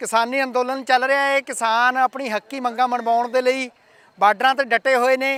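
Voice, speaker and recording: A man with a Punjabi accent, extremely high in pitch, bright and sharp in tone, his voice raised and projected in a monotone, flat delivery, recorded dry and close with no echo. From Punjab, India. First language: Punjabi (speaking Hindi). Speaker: news reporter. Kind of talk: news report intro.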